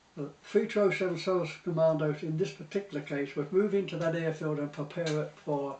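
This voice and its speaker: Noticeable background noise runs behind a man with a southern English accent at a fairly high pitch. He talks at a fairly quick pace with hardly any pauses and fairly even intonation. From Portsmouth, England. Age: 80s+. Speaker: war veteran. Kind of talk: interview answer.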